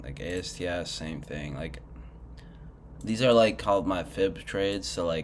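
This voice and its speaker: Lively intonation runs through this man's speech, along with vocal fry. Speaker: retail trader. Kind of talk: casual screen-share commentary.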